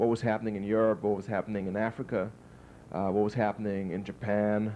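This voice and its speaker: A man with a German accent, a fairly low pitch, a dark, mellow tone and a fairly quick pace. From Germany and Liberia. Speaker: PhD graduate. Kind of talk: interview. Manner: halting, many fillers and repeats.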